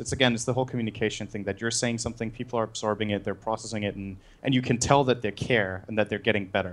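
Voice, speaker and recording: A man's fairly low voice with a Danish accent and fairly even intonation. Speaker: esports caster. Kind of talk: podcast interview.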